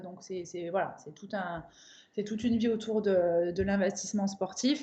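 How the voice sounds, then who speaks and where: A woman's somewhat breathy, dark, mellow tone, with fairly even intonation at a moderate pace. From southern France, Avignon. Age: 30s. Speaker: crossfit coach and athlete. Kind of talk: interview.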